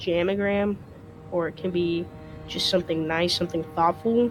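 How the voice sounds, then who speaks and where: A woman speaks with fairly even intonation. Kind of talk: casual talk to camera.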